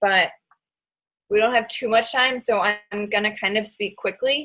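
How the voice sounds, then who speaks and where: A woman's fairly high voice with a bright, sharp tone, fairly even intonation and a moderate pace. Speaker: online fitness coach and team leader. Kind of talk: team training call.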